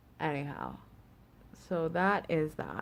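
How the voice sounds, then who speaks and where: Background noise is noticeable behind this woman. She speaks with a Canadian accent and fairly even intonation. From Canada. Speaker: beauty vlogger. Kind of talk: tutorial. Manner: casual, hesitant with fillers.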